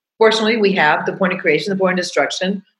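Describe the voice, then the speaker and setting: A somewhat breathy voice in an animated tone. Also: woman. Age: 60s. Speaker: podcast host and coach. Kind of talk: casual monologue.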